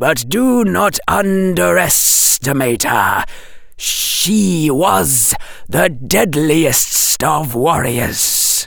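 A man's put-on character voice, fairly high for a man, hissing at a very slow pace over light background noise. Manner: warning, cautionary.

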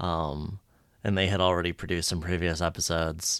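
In a monotone, flat delivery, a man speaks at a moderate pace with very deep, low pitch. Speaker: podcast co-host. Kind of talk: casual chat. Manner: halting, self-interrupting.

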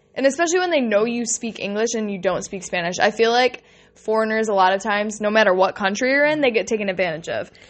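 A woman speaks at a very fast pace with lively intonation. Her pitch sits fairly high. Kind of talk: casual chat. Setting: cell phone recording while traveling.

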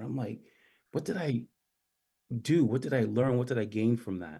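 In a very clean recording with a silent background, a man with an American accent speaks in a dark, mellow tone. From US Virgin Islands (St. John). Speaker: sneaker historian and education entrepreneur. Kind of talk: radio interview.

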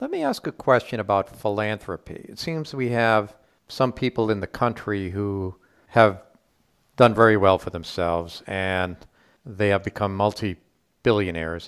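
A man speaks in a normal speaking voice, fairly low pitched, at a moderate pace with ordinary pitch variation. His loudness swings widely, and the recording is very clean with a silent background. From US Northeast (Rhode Island). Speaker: podcast host. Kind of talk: podcast interview.

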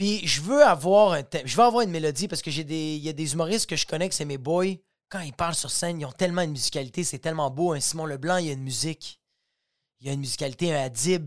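A man with a Quebec accent talks at a very fast pace. His pitch is fairly high with ordinary variation, on a very clean recording with a silent background. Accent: Québécois French. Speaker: stand-up comedian and podcast host. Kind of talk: casual solo podcast monologue. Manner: animated, fast, with frequent repetitions and fillers.

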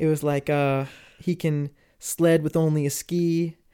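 Monotone and flat, a man speaks at a fairly slow pace in a fairly high pitch with a dark, mellow tone. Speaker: singer-songwriter and music producer. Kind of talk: casual interview chat. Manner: laughs often.

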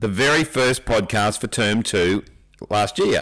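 Very slow, lively intonation from a man with an Australian accent. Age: 60s. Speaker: teacher and podcast co-host, ex-military. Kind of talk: casual chat.

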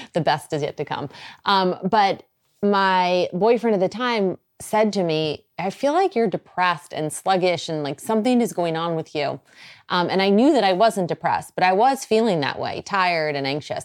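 A woman with an American accent speaks in a plain, everyday voice at a medium pitch and a moderate pace. The recording is very clean, with a silent background. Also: lively intonation. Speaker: radio host, podcast host. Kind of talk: casual chat, personal storytelling. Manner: conversational, warm.

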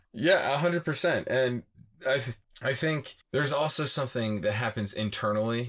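In an American accent, a man talks at a moderate pace and a medium pitch with ordinary pitch variation, in an ordinary speaking voice. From Philadelphia area, US. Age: 30s. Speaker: van life dog owner.

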